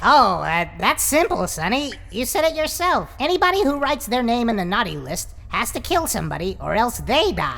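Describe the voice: In a cartoonish character voice that sounds female and high-pitched, the speaker goes at a moderate pace with hardly any pauses.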